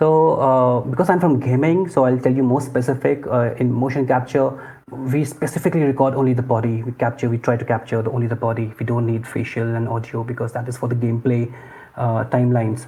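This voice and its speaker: A man with an Indian accent talks very fast at a medium pitch against noticeable background noise. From northern India, Lucknow. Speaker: lead game animator. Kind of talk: interview. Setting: remote call from India.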